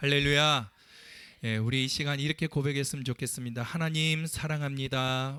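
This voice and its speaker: A man speaks in a fairly high pitch with a bright, sharp tone. His loudness stays very even and his intonation fairly even. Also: moderate pace. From Ulsan, South Korea. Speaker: pastor. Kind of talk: sermon. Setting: church pulpit.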